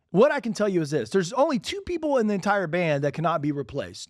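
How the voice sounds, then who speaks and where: Very fast and animated, a man talks in a high pitch in a very clean recording with a silent background. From Alabama, US South. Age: 40s. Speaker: podcast host, real estate agent. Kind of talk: solo podcast monologue.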